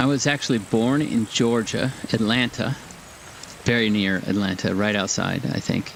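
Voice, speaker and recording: Noticeable background noise sits behind a man of medium pitch who speaks at a moderate pace, with very even loudness and ordinary pitch variation. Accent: West Coast US. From California, LA County. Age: 60s. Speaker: gaming streamer. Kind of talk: casual live-stream commentary while gaming. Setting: home live stream. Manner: conversational, rambling.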